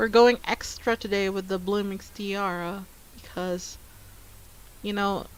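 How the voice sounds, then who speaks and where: A woman with a non-native accent speaks at medium pitch in a monotone, flat intonation. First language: not English. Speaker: art livestreamer. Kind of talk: casual livestream chat while drawing. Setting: livestream. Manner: hesitant, repeating words.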